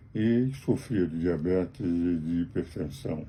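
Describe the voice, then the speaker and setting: A man's very deep, low voice carries a dark, mellow tone, ordinary pitch variation and a somewhat breathy quality. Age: 80s+. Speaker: lawyer. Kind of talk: spoken commentary to camera.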